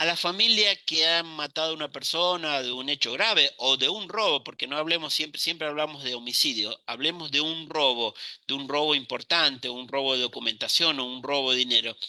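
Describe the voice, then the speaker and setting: A man's fairly high, bright, sharp voice at a fairly quick pace, with ordinary pitch variation. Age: 60s. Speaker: criminology professor. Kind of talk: lecture.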